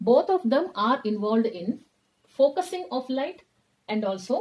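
At a fairly slow pace, a woman speaks with a high pitch, a dark, mellow tone and very wide pitch swings. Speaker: teacher. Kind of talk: lecture. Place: classroom. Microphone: earbuds.

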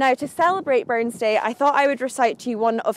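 In a Scottish accent, a woman speaks with ordinary pitch variation, the sound dry with no echo. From Scotland. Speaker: video presenter. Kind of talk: scripted narration. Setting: outdoors. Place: garden.

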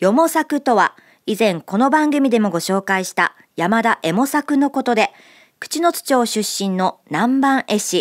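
The speaker moves at a fairly slow pace with very wide pitch swings over a quiet background. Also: woman. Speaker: radio presenter. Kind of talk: scripted radio segment narration. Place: studio. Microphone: studio mic.

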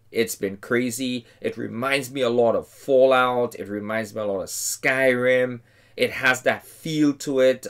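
Speaking at a fairly slow pace with fairly even intonation, a man is heard against a quiet background. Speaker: game reviewer. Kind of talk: casual review commentary. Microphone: headset.

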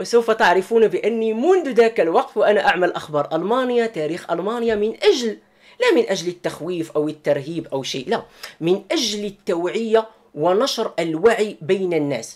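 The man's voice is high-pitched and his intonation is lively. The background is quiet. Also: moderate pace. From Morocco, Marrakesh. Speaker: YouTuber and German news commentator. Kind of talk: personal statement to viewers. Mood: earnest, defensive explanation. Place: home room. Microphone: webcam.

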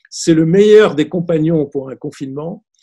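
Over a quiet background, a man with a high pitch speaks in a dark, mellow tone with ordinary pitch variation. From Tunisia, then Grenoble, France; Tunisia. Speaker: film critic; interviewee. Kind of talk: interview. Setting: video call. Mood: warm, reflective. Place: home room. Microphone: video call.

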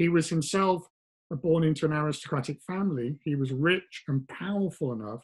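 A man's somewhat breathy voice at a moderate pace, with ordinary pitch variation and a quiet background. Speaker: professor guest. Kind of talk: interview answer. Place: home room. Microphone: video call.

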